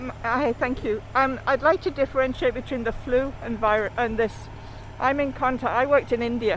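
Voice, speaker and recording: At a moderate pace, a woman with a high pitch speaks in an English accent with fairly even intonation. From England. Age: 70s. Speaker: rally attendee. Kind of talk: casual chat.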